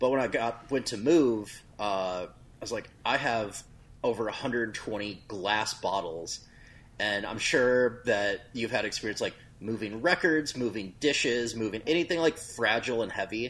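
A man with an American accent talks in a normal speaking voice at medium pitch, fairly slowly, with ordinary pitch variation. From US Midwest. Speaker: hot sauce company owner. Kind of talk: casual chat.

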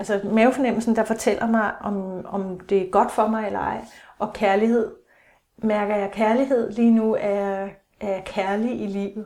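A woman speaks fairly slowly in a fairly high voice with a dark, mellow tone. Her intonation is monotone and flat. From Denmark, Aalborg (North Jutland). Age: 40s. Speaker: psychotherapist and author. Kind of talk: casual interview chat. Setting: countryside course centre. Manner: hesitant, many fillers.

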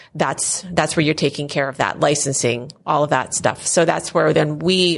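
A woman speaks with an American accent and vocal fry, her pitch very deep and low. Her intonation stays fairly even over a quiet background. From Philadelphia area, Pennsylvania. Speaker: software company owner. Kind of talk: casual interview. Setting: at a conference.

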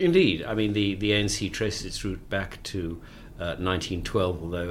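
Amid audible room echo, a man talks with a very deep, low pitch and fairly even intonation. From South Africa, Cape Town. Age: 60s. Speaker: author and former journalist. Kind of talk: interview.

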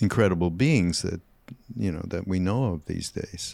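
Recorded very cleanly over a silent background, a man with a Canadian accent speaks at a very deep, low pitch. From Canada. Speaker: podcast host and spiritual teacher. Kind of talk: casual interview conversation.

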